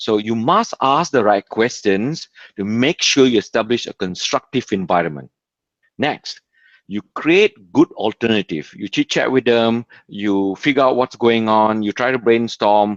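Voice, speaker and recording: A man speaks with a non-native accent. The sound is dry and close with no echo, over a quiet background. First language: not English. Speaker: community event organizer. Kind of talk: video call advice talk.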